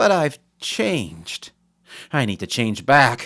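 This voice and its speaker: Talking at a fairly slow pace, a man uses a put-on character voice at a medium pitch. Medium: read story.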